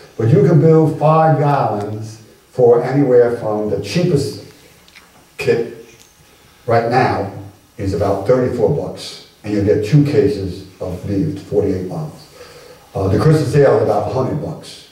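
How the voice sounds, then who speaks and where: In an American accent, a man talks at a moderate pace with lively intonation and audible room echo. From New York City (Brooklyn); New York City. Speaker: retired teacher and home brewer giving a history talk; retired teacher. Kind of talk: Q&A after a public lecture. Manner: casual and conversational. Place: hall. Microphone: camera far.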